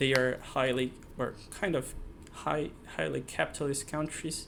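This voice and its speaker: A fairly high-pitched man at a moderate pace. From South America. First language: not English. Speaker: software engineer, channel creator. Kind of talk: personal monologue to camera. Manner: halting, many fillers and restarts.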